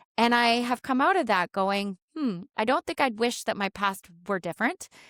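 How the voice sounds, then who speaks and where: A woman's ordinary speaking voice with lively intonation at a moderate pace, dry and close with no echo, on a very clean recording with a silent background. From Canada. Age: 40s. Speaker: educator and author. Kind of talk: podcast interview.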